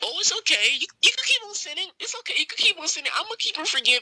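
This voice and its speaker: In a put-on character voice that sounds female, the speaker is soft-spoken yet squeaky, racing at a very fast pace with an extremely high pitch and very wide pitch swings. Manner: mocking, sweetly reassuring.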